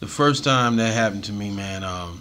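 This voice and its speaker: Audible room echo surrounds a man's fairly low-pitched voice. His pitch variation is ordinary. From US South (Atlanta). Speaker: hip hop and reggae artist. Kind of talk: casual interview chat. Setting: studio. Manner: animated.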